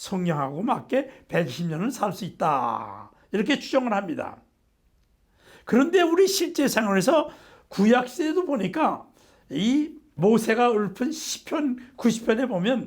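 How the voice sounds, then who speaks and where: A man with an extremely high pitch and very wide pitch swings, speaking at a fairly slow pace in a very clean recording with a silent background. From South Korea. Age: 80s+. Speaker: nutrition professor. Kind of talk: lecture.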